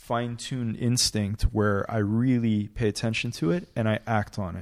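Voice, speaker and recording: A man speaks at a moderate pace with a Canadian accent, his pitch medium and his intonation fairly even. It is a normal speaking voice, recorded very cleanly against a silent background. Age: 30s. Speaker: real estate broker and tech entrepreneur. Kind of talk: casual interview.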